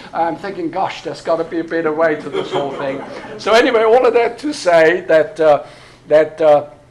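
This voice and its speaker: There is noticeable background noise behind this man. His pitch is high, with ordinary variation, and his pace is fairly quick. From Austria. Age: 60s. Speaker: pastor. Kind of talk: workshop talk. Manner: hesitant, many fillers.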